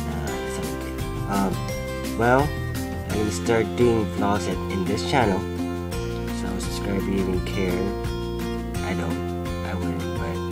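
Loud music plays in the background as the speaker goes at a moderate pace with long, frequent pauses. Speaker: vlogger. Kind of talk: casual vlog chat. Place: home room. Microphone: phone near.

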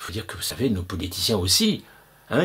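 A man speaks with very wide pitch swings and a somewhat breathy sound. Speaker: video blogger. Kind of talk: angry conspiracy rant, indignant monologue to camera. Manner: indignant, emphatic, sarcastic; insistent, repetitive, hammering points with rhetorical questions. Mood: indignant, persuasive. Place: home room. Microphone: webcam.

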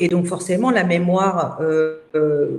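The woman's voice sits fairly low in pitch. Echo from the room is audible. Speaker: interviewee. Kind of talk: interview answer. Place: home room. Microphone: video call.

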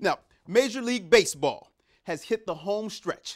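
The background stays quiet while a man talks. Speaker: TV sports anchor. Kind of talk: news presentation. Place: studio. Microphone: lapel.

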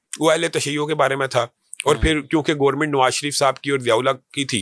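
A man is heard in a dry recording with no echo and a quiet background. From Pakistan. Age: 40s. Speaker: religious party leader and scholar; guest. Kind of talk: interview. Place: studio. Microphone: studio mic.

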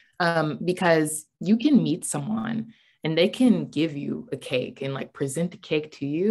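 A woman with lively intonation at a moderate pace, over a quiet background. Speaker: young professional, council co-president; council co-president. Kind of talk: panel discussion. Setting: video call. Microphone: video call.

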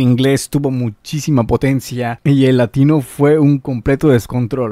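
A man speaks fairly slowly with fairly even intonation and a dark, mellow tone. The sound is dry with no echo over a quiet background. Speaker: streamer reacting to dubs. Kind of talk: casual reaction commentary. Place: home room. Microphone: studio mic.

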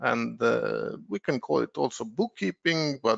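A man speaks at a moderate pace. He talks with an Estonian accent. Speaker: software consultant. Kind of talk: webinar presentation. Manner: hesitant, many filler words.

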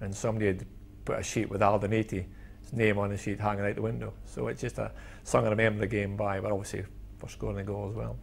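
Talking at a very fast pace, a man with a Scottish accent uses a fairly low pitch, ordinary pitch variation and vocal fry over light background noise. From Scotland. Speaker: former footballer; interviewee. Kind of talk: reminiscing interview. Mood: fond, smiling reminiscence. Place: studio.

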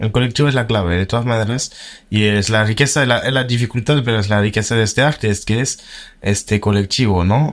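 A man talks at a fairly quick pace with a medium pitch. His loudness stays very even, his intonation fairly even, against a quiet background. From France. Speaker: filmmaker; guest. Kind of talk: interview. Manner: halting. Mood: relaxed, thoughtful. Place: studio. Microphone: studio mic.

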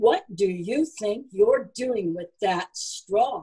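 A woman's booming, put-on character voice, dark and mellow in tone with a husky, rough edge, lively intonation and a very slow pace. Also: medium pitch for a woman.

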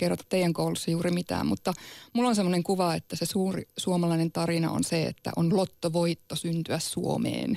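A woman speaks at a fairly quick pace with very even loudness, her voice dry with no echo over a quiet background. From Sámi region, northern Finland; northern Finland. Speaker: Sámi activist. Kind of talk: radio debate. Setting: studio. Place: studio.

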